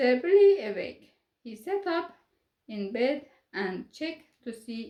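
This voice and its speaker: A woman's high voice with very wide pitch swings, a non-native accent and a fairly slow pace. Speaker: storyteller for children. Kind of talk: reading aloud. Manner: calm, soothing.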